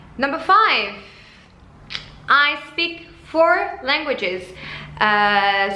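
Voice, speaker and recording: A woman speaks with a French accent, with noticeable background noise and audible room echo. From France, Paris suburbs. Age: 20s. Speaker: flight attendant vlogger. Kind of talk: casual vlog talk. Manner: halting.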